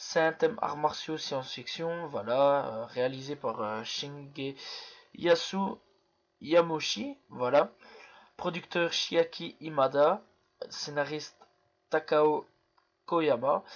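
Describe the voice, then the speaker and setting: Pausing often and at length, a man talks very slowly in a fairly high voice with ordinary pitch variation. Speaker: YouTuber film reviewer. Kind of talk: casual video review. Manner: hesitant, many fillers.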